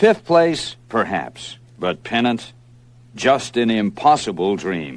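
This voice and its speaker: A man's very slow speech with very wide pitch swings. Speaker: sports play-by-play announcer; narrator. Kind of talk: rhyming verse narration of a sports story.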